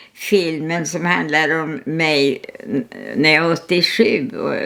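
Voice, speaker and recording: Woman at a very slow pace with ordinary pitch variation over noticeable background noise. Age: 100s (103 years old). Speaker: artist. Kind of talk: casual chat. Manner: halting.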